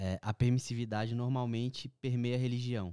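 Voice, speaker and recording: A man's dark, mellow voice at a moderate pace, dry and close with no echo, on a very clean recording with a silent background. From Brazil, Minas Gerais. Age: 30s. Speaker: pastor. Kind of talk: book discussion.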